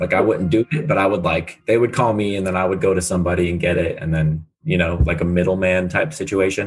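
A man with an American accent talks at a very fast pace with hardly any pauses, in a very deep, low pitch with ordinary pitch variation. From San Diego, California. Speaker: podcaster in addiction recovery. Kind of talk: interview testimony.

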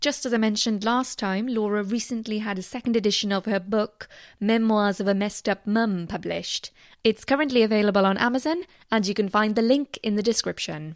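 In an unremarkable speaking voice, a woman talks at a fairly quick pace with a fairly high pitch and ordinary pitch variation, on a very clean recording with a silent background. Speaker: narrator reading aloud. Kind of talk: poetry reading, spoken word. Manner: measured, lyrical, expressive.

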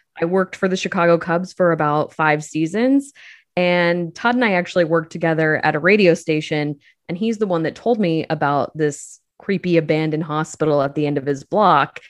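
Against a quiet background, a woman with an American accent and a plain, everyday voice speaks at a fairly low pitch with ordinary pitch variation. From central Illinois. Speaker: podcast creator. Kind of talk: interview.

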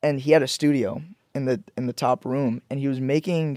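With an ordinary speaking voice, a man talks at medium pitch and fairly even intonation, the sound dry and close with no echo. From born in Pakistan, raised in Georgia and Florida, US. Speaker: musician, songwriter and producer. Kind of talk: casual interview chat.

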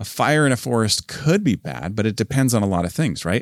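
Speaking at a fairly quick pace, a man with a fairly low pitch and a warm tone shows vocal fry and very wide pitch swings, in a dry, close sound with no echo. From northern Canada. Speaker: church pastor. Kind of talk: pep talk; sermon-style motivational talk. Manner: warm, earnest, conversational.

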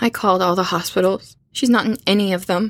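The recording is very clean, with a silent background. A woman at medium pitch uses an ordinary speaking voice, a moderate pace and ordinary pitch variation. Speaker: voice actor playing a young roommate. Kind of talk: horror audio drama dialogue. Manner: frightened, distressed, pleading.

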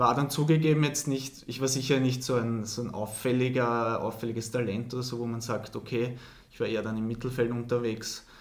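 A man talks at a fairly quick pace with monotone, flat intonation. Audible room echo surrounds his voice. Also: medium pitch for a man. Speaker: professional middle-distance runner. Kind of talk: interview.

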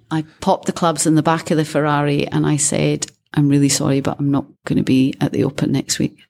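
Speaking at a very fast pace with a Scottish accent, a woman has a very deep, low pitch, a dark, mellow tone, monotone, flat intonation and very even loudness. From Scotland. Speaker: former caddie and amateur golfer. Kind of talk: interview.

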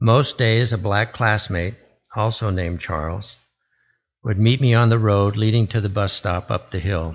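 With an American accent, a man speaks at a moderate pace in a fairly low, somewhat breathy voice with ordinary pitch variation. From US West (Arizona, Alaska, Oregon). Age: old. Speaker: military veteran. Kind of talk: lay sermon.

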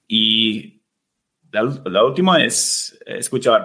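A man speaks with an English accent. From United States. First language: English (speaking Spanish). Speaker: Spanish learner, host's husband. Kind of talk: casual interview chat. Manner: halting, with many fillers and repetitions.

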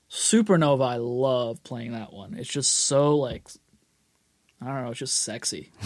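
A man's medium-pitched, unremarkable speaking voice with an American accent, at a fairly slow pace, with ordinary pitch variation and big swings in loudness. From Boston. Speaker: rock guitarist and record producer. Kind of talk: casual interview.

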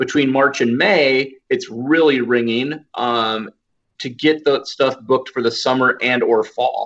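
A plain, everyday voice from a man with an American accent, medium pitch and a fairly slow pace. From Iowa. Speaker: photographer. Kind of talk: casual chat.

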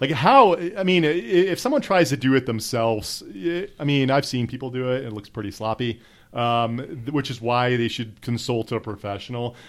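On a very clean recording with a silent background, a man in an ordinary speaking voice talks at medium pitch and a moderate pace, with hardly any pauses. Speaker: podcast host. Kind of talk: casual chat.

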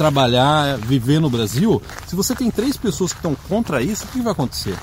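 Speaking at a fairly quick pace, a man uses lively intonation while noticeable background noise carries on. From Brazil. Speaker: immigration advice video host. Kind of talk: casual Q&A video.

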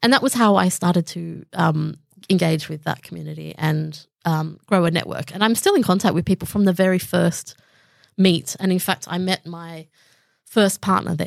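The pitch varies in an ordinary way, and the recording is very clean with a silent background. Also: woman, fairly low pitch for a woman, moderate pace. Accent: Australian. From Southwest Sydney, Australia. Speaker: comedian. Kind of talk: casual chat.

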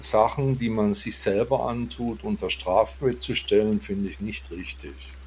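Speaking at a fairly slow pace with hardly any pauses, a man uses a fairly low, somewhat breathy voice with very wide pitch swings and big swings in loudness. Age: 50s. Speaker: Buddhist monk and podcaster. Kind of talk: casual interview conversation. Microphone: good audio setup.

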